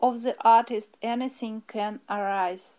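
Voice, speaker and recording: Very slowly, a woman speaks with a fairly high pitch and a dark, mellow tone. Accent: Russian. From Russia, Moscow. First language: Russian. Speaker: ceramic artist. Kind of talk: prepared artist statement.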